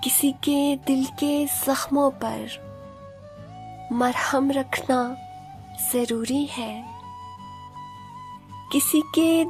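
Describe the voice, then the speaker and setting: Over music in the background, a woman talks in a high pitch. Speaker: poetry reciter. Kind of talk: poetry reading.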